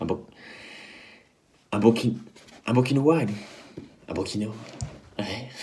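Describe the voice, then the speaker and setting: A man speaks at medium pitch, somewhat breathy, with a dark, mellow tone. Long, frequent pauses break up his speech, and the room echo is audible. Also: ordinary pitch variation. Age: 20s. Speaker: drama student and actor. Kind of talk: video pitch for production meeting. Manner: halting, repeats words.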